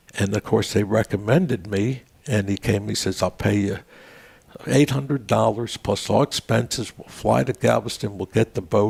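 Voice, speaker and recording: A man with an American accent and vocal fry speaks at a moderate pace in a fairly low pitch with ordinary pitch variation, the sound dry and close with no echo. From Maryland, US (Baltimore area). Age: 80s+. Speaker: veterans' organization leader and storyteller. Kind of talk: casual interview chat.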